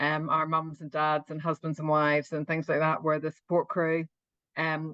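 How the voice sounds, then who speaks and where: In an Irish accent, a woman speaks with a very deep, low pitch and monotone, flat intonation in a dry, close sound with no echo. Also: quiet background. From Northern Ireland. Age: 50s. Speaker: open water swimmer. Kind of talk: interview.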